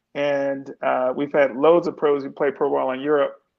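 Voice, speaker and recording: A man's normal speaking voice, a normal speaking voice at a moderate pace with fairly even intonation. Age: 60s. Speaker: entertainment executive and sports team owner. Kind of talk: interview.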